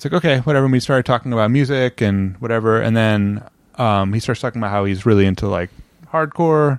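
A man with an American accent mumbles very fast at a medium pitch, with ordinary pitch variation against a quiet background. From Indiana, US Midwest. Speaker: musician and film composer. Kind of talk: casual interview chat. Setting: at home apartment. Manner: mumbling.

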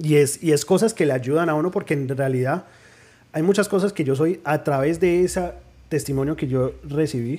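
A fairly high-pitched man's voice with a dark, mellow tone, ordinary pitch variation and a moderate pace. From New Jersey, Colombian parents from Pereira. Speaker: podcast guest. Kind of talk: personal testimony.

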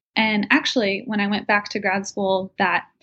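In an American accent, the speaker talks at a moderate pace with a somewhat breathy voice. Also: woman. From New Jersey. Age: 20s. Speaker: young professional sharing moving tips. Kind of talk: casual interview.

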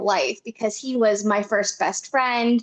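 A woman speaks with fairly even intonation. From US Northeast, northeast Pennsylvania. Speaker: romance novelist. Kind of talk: casual interview. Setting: video call.

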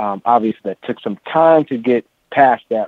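This man has a plain, everyday voice at a medium pitch with ordinary pitch variation. He speaks at a fairly slow pace. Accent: American. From San Francisco, California. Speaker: drummer and music educator. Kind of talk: interview.

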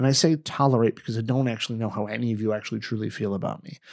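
A man talks at a very fast pace in a fairly low pitch. The background is quiet. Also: dry, close sound with no echo. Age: 40s. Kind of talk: casual chat. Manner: emotional.

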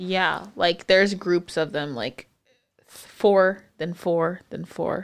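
A woman with a fairly low pitch talks at a very slow pace with ordinary pitch variation. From Texas, San Antonio. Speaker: podcast co-host, physical therapist. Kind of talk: casual chat. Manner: animated.

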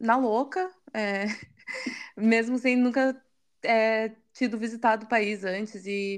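Over a quiet background, a woman talks with a fairly high pitch. Hers is an unremarkable speaking voice with ordinary pitch variation. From Brazil, Curitiba. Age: 30s. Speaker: marketing manager, former au pair. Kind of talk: interview.

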